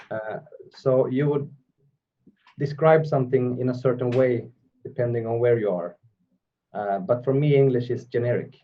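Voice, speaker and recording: Using a Swedish accent, a man speaks at a moderate pace and medium pitch with ordinary pitch variation and long, frequent pauses. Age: 40s. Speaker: metal vocalist. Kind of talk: interview.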